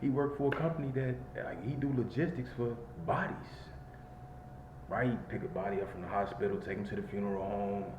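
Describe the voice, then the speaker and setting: In an American accent, the speaker uses lively intonation, with audible room echo and noticeable background noise. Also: man. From Chicago, Illinois. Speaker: vlogger. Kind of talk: casual monologue vlog. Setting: in a car.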